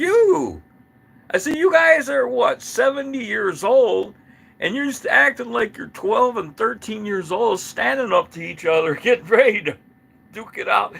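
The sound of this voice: Doing a squeaky put-on character voice, a man speaks at a moderate pace and an extremely high pitch.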